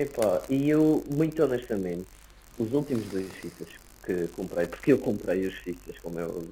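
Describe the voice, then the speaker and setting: This man has a dark, mellow tone and speaks at a moderate pace. His pitch swings very widely. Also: medium pitch for a man. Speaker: podcast host. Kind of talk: casual chat.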